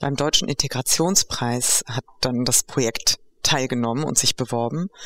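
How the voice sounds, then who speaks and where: The sound is dry and close, with no echo. A woman speaks at a moderate pace with ordinary pitch variation. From Greek-German. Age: 50s. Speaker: educational program organizer. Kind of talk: interview conversation. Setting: on location at the project.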